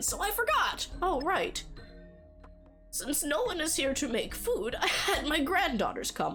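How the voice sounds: Over clear music in the background, a woman does a put-on character voice at a fairly slow pace.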